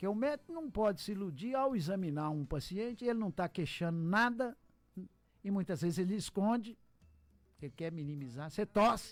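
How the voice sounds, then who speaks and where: With music in the background, a man speaks at a moderate pace in a high pitch, swinging very widely in pitch. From Minas Gerais, Brazil (Montes Claros). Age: 60s. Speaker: pulmonologist doctor. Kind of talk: radio interview. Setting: radio studio.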